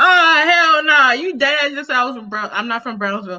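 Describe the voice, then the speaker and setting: Raised and projected, a woman's voice with an American accent sounds animated, bright and sharp, swinging very widely in pitch. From New York, Brooklyn (Flatbush). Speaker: YouTube reviewer and live-stream host. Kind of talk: casual live-stream chat.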